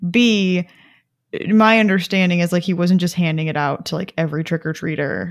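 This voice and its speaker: A woman with an ordinary speaking voice talks at a fairly quick pace, with a fairly low pitch and fairly even intonation. The recording is very clean, with a silent background. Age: 20s. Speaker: science podcast co-host. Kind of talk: casual chat.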